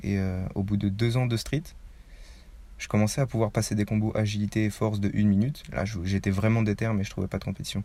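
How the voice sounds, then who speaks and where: A man's fairly low, dark, mellow voice at a very fast pace with long, frequent pauses and fairly even intonation, in a very clean recording with a silent background. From Paris suburbs, France. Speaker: street workout athlete, YouTuber. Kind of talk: casual interview.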